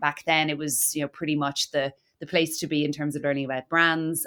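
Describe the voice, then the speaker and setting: A woman with an Irish accent speaks at a very deep, low pitch with fairly even intonation. The recording is very clean, with a silent background. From Ireland (Cork). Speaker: marketing director. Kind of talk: podcast interview. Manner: hesitant, many fillers.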